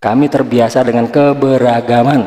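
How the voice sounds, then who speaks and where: A man speaks fairly slowly in a dark, mellow tone. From Indonesia. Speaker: reaction video commentator. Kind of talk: reaction commentary.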